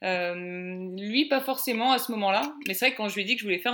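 Medium-pitched, a woman speaks in a bright, sharp tone. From Paris, France. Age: 30s. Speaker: traveler. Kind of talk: interview.

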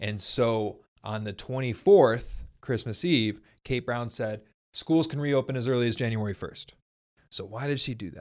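On a very clean recording with a silent background, a man with a plain, everyday voice speaks at a moderate pace, showing ordinary pitch variation and big swings in loudness. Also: medium pitch for a man. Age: 30s. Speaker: podcast host. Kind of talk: casual chat. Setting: in person, drinking whiskey together.

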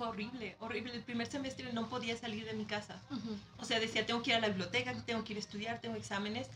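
Her pitch fairly high and her intonation flat and monotone, a woman with a Mexican accent talks very fast with hardly any pauses against noticeable background noise. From Mexico. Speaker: former graduate student abroad. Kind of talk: casual chat.

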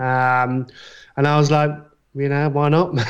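Speech comes in a British accent at a fairly slow pace. The intonation is flat and monotone. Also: man. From UK. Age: 30s. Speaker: graphic designer. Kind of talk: casual chat.

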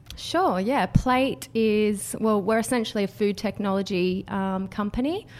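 In an Australian accent, a woman speaks at a fairly slow pace with hardly any pauses. Her voice sits fairly high, with ordinary pitch variation. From Australia, Canberra. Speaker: startup founder. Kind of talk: podcast interview.

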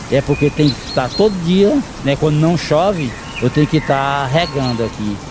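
A man at a fairly high pitch, very even loudness, ordinary pitch variation and a moderate pace, over noticeable background noise. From Ceará backlands, Pentecoste (Brazil). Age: 50s. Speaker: gardener and woodcarving artisan. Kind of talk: interview.

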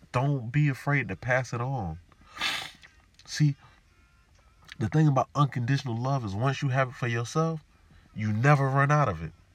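At a moderate pace, a man with a medium-pitched voice and ordinary pitch variation speaks with long, frequent pauses. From US South, Jacksonville, Florida. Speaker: podcast host. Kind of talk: solo monologue podcast. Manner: animated.

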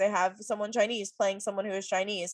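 In a quiet background with a dry, close sound and no echo, a woman speaks at a medium pitch. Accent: American. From US South, Virginia Beach. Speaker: podcast co-host. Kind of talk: casual chat.

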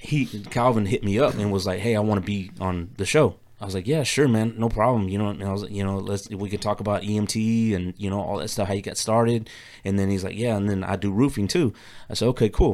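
In a very clean recording with a silent background, a man with an American accent speaks at a very fast pace. His pitch is fairly low with ordinary variation. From Texas, Katy area. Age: 40s. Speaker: podcaster and military veteran. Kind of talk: casual chat. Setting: studio.

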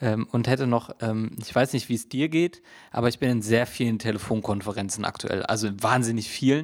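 With a normal speaking voice, a man talks at a fairly quick pace in a medium pitch with ordinary pitch variation, recorded very cleanly against a silent background. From Hesse, Germany. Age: 20s. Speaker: podcast co-host. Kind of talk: casual chat.

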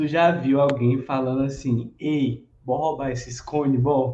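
A man speaks at a very slow pace and a medium pitch, with fairly even intonation. His tone is dark and mellow, and somewhat breathy. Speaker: podcast co-host. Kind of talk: casual chat. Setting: live stream.

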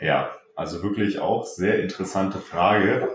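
Speaking at a fairly slow pace, a man has a fairly low pitch. His is an unremarkable speaking voice. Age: 20s. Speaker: competitive bodybuilder. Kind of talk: casual interview.

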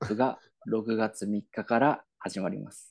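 A man's medium-pitched voice with a dark, mellow tone, dry and close with no echo, over a quiet background. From Yamagata, Japan. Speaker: podcast co-host. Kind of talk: mock promotional announcement; casual chat.

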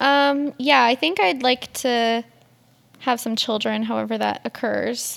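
A woman with a Western Canadian accent at a fairly slow pace. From Edmonton, Alberta, Canada. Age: 20s. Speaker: podcast co-host and photography student. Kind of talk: casual chat.

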